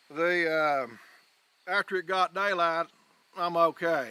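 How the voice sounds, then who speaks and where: In a rural Southern US accent, the speaker talks at a fairly slow pace with a bright, sharp tone. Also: man, dry, close sound with no echo. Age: 60s. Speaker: hunter. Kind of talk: interview testimony. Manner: animated.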